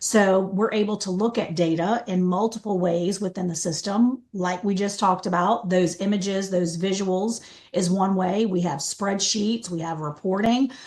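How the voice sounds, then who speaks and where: A woman at medium pitch, with fairly even intonation and hardly any pauses. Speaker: software trainer. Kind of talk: training webinar. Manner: fast.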